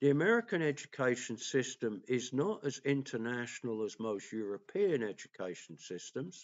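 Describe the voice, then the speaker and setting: A medium-pitched man with an English accent, very wide pitch swings, a moderate pace and hardly any pauses. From England. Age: 60s. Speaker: political commentator and vlogger. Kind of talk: opinion monologue. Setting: at home.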